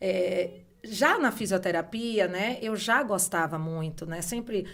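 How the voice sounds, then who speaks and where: A woman's medium-pitched voice with ordinary pitch variation and a northeastern Brazilian accent. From Brazil, Bahia (Salvador). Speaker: beauty entrepreneur, former university professor. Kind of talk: podcast interview.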